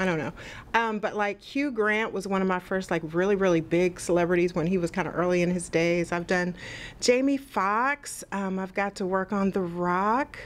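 A woman's pitch varies in an ordinary way as she talks at a moderate tempo. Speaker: guest. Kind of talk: interview answer. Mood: cheerful, animated. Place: studio. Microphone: studio mic.

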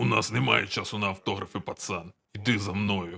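This man puts on a character voice with a very deep, low pitch, talking at a fairly quick pace. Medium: fan dub. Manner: terse, gruff.

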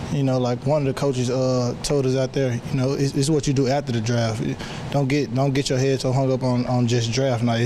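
A man at a fairly quick pace with monotone, flat intonation, against noticeable background noise. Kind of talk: interview answer. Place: hall. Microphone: handheld.

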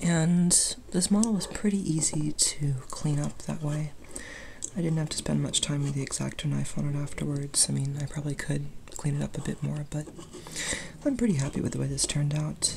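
The speech moves at a fairly quick pace. Noticeable background noise sits behind it. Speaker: 3D printing hobbyist. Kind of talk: casual hobbyist demo talk. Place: workshop. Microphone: phone near.

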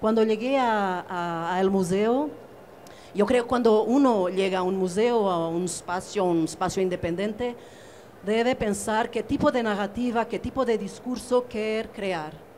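At a fairly slow pace, a woman speaks with ordinary pitch variation over light background noise. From Portugal. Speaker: curator; panelist. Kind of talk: panel discussion. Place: hall.

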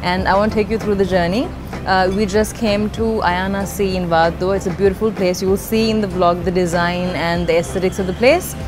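With music in the background, the speaker moves at a fairly quick pace using fairly even intonation. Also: woman. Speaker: fitness vlogger. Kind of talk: casual vlog chat. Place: cafe.

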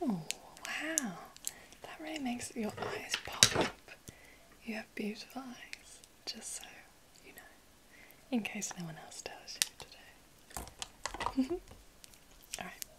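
A woman at a very slow pace, with long, frequent pauses, over loud background noise. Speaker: makeup roleplay host. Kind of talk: soft-spoken roleplay talk to viewer. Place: home room.

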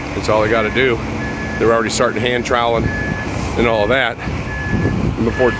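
Loud background noise accompanies a man, and the sound is dry with no echo. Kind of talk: casual vlog commentary. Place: street. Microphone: phone near.

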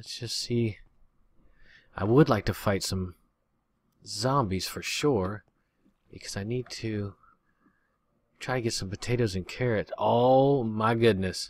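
Medium-pitched male voice, fairly slow with long, frequent pauses, big swings in loudness, ordinary pitch variation and a dry sound with no echo. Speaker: gaming youtuber. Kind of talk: let's play commentary. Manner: casual, chatty. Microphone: new usb microphone, much better audio; studio mic.

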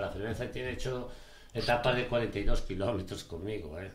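A man speaks at a fairly slow pace, his voice somewhat breathy with ordinary pitch variation. Room echo is audible. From Galicia, Spain (Ourense province); Galicia, Spain. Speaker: charity ultramarathon runner; interview guest. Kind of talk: casual chat. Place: studio.

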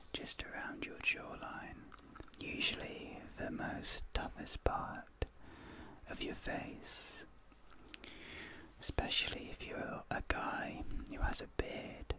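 A man's whispering at a very slow pace, broken by long, frequent pauses. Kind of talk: soft-spoken roleplay. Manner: soft, hushed ASMR speaking. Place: home room.

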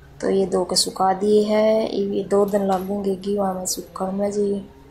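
A woman speaks at a fairly slow pace with little pitch movement. Her dark, mellow tone carries audible room echo. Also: medium pitch for a woman.

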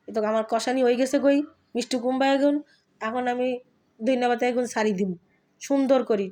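In a very clean recording with a silent background, a woman speaks at a high pitch with fairly even intonation. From Bangladesh, Dhaka (family from Feni). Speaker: cooking vlogger. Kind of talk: cooking tutorial.

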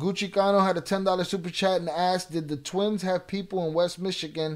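The speaker has an American accent. The background is quiet. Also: man. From Chicago north side. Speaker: YouTube livestream host; livestream host. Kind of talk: live stream Q&A.

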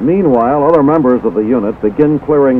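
A medium-pitched man amid noticeable background noise. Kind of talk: scripted newsreel narration. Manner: formal, brisk, authoritative announcer delivery.

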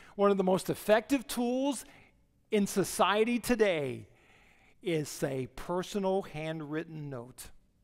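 A man speaks at a high pitch and a fairly slow pace. The background is quiet. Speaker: guest speaker, missionary preacher. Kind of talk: sermon delivered from the pulpit to a congregation. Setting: church auditorium. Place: church. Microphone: headset.

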